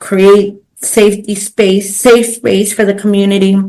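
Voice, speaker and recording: Talking fairly slowly in a Spanish accent, a woman with a medium-pitched voice keeps a monotone, flat intonation. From Los Angeles, East LA. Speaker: pro bono coordinator, business owner. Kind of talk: podcast interview. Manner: casual with many fillers.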